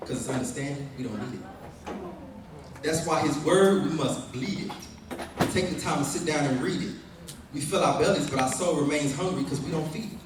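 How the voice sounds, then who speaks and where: A fairly quick pace broken by long, frequent pauses, with noticeable background noise. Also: man, fairly high pitch for a man, ordinary pitch variation. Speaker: spoken word poet. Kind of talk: spoken word poetry performance. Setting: live at a family reunion.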